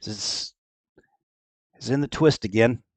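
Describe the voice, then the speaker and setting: Putting on a raspy character voice, a man speaks at a medium pitch and moderate pace, with a dry, close sound and no echo. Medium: actual play. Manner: plain-spoken, folksy, rambling.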